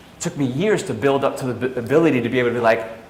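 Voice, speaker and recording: With a New York accent, a man talks very fast at a medium pitch in an animated tone with ordinary pitch variation, over noticeable background noise and audible room echo. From New York, of Italian family. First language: Italian. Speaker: fitness business coach. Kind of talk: training seminar. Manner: casual, animated.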